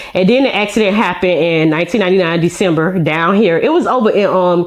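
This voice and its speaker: A woman's medium-pitched voice in an American accent at a very fast pace, with noticeable background noise. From Miami, Florida (Miami-Dade, Liberty City area). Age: 30s. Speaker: social media influencer. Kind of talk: podcast interview.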